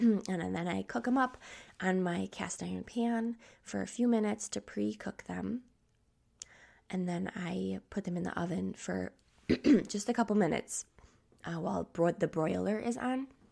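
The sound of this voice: A woman's put-on character voice, raspy and medium-pitched, at a moderate pace in a very clean recording with a silent background.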